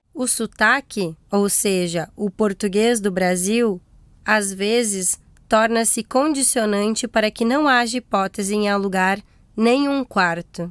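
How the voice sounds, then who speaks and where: A woman talks at a very slow pace with a fairly high pitch. The recording is very clean, with a silent background and a dry, close sound with no echo. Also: ordinary pitch variation. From Brazil. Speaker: podcast host. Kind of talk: scripted narration.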